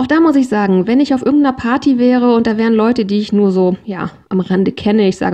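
Her voice ordinary, a woman speaks at a fairly quick pace, fairly high in pitch, with ordinary pitch variation. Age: 40s. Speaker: podcast host. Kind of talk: solo podcast monologue.

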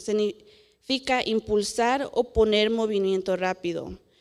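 The speaker is a woman whose voice sits fairly high. Its pitch rises and falls in an ordinary way. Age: 20s. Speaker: young preacher. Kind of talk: sermon. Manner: halting, many filler sounds.

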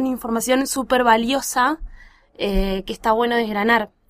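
In a Rioplatense accent, a woman speaks at a high pitch. Her pace is moderate and her intonation fairly even. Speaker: podcast host. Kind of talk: casual chat.

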